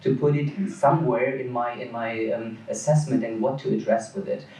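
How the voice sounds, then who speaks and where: Lively intonation from a man at medium pitch, with noticeable background noise. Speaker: dermatologist. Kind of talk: conference lecture. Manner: fast.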